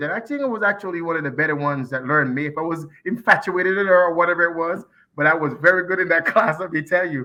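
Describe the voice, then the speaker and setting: Spoken with a Jamaican accent, the speech races at a very fast pace with ordinary pitch variation. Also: man. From Jamaica, Kingston. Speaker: community association president. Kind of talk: interview. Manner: animated.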